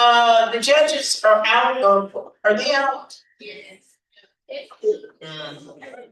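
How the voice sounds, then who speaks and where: Speaking at a very slow pace with long, frequent pauses, a woman with an American accent and a fairly high pitch uses lively intonation and big swings in loudness. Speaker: event emcee. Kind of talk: event announcements.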